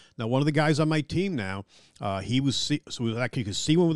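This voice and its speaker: A man talks very fast with a New York accent, his pitch swinging very widely. The sound is dry and close with no echo, over a quiet background. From Long Island, New York. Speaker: museum curator. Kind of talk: interview. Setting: office in a museum.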